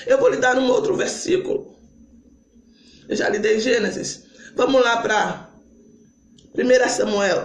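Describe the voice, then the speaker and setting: A man puts on a hoarse character voice at an extremely high pitch, with very wide pitch swings. He talks at a moderate pace with long, frequent pauses, and there is slight echo. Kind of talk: preaching, sermon.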